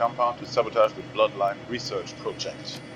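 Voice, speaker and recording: A man speaks very fast with a German accent, his pitch swinging very widely over noticeable background noise. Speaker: gamer. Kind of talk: let's play commentary.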